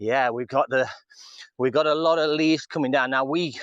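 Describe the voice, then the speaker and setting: The speaker is a man with an English accent. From England. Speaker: vlogger. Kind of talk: live stream chat. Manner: casual.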